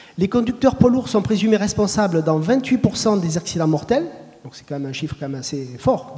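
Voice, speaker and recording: Speaking at a very fast pace, a man with a high pitch makes very wide pitch swings over noticeable background noise. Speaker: road safety official. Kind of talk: panel discussion.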